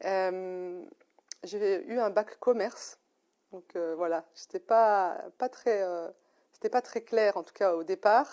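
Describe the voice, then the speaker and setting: A woman with a dark, mellow tone speaks at a very slow pace with long, frequent pauses and big swings in loudness, in a very clean recording with a silent background. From France, Lyon area. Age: 40s. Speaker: mature psychology student, former care assistant. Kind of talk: interview. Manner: hesitant, many fillers.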